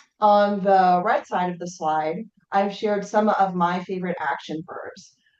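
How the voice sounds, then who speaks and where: A woman's plain, everyday voice at a medium pitch, fairly slow and fairly even in intonation, with big swings in loudness. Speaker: webinar presenter. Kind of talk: webinar presentation.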